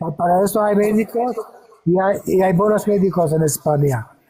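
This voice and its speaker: High pitch for a man, ordinary rise and fall, and noticeable noise behind his voice. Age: 80s+. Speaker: painter and musician. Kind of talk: casual chat. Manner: halting.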